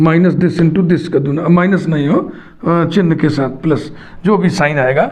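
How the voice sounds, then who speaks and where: A man's high voice with a dark, mellow tone and fairly even intonation, in audible room echo. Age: 60s. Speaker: math teacher. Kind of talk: lecture.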